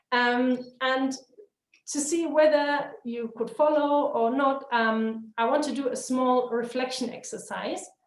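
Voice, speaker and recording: Very slowly, a woman speaks in a high pitch with fairly even intonation, and audible room echo is present. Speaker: webinar trainer. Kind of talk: webinar lecture.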